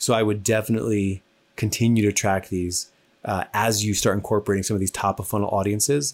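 Fairly quick and fairly low in pitch, a man with an American accent talks in an unremarkable speaking voice. The recording is very clean, with a silent background. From New Jersey. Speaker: podcast host. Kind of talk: casual chat.

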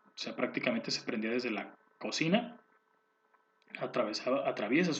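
A man with a Mexican accent talks at a moderate pace and a fairly high pitch. His pitch swings very widely. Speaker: podcast host. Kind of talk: casual monologue. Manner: halting, many repetitions.

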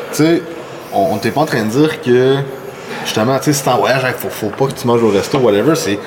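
A man with a medium-pitched voice and ordinary pitch variation speaks in a room with audible echo and noticeable background noise. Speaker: podcast host. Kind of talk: casual chat. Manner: halting.

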